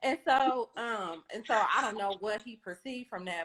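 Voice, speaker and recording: The woman's tone is animated and her pitch fairly high. She speaks at a fairly slow pace. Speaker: life coach, live-stream participant. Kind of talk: casual chat.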